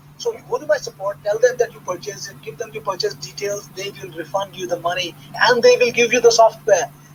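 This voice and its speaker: Over noticeable background noise, a man speaks very fast in a high voice with lively intonation. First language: not English. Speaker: internet marketer hosting product launch webinar. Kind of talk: live webinar sales pitch with Q&A. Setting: live online webinar call. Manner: animated, conversational with hesitations.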